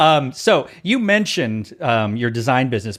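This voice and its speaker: With an American accent, a man of medium pitch speaks in very wide pitch swings. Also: very clean recording, silent background. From Texas. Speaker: podcast host. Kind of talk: casual interview chat.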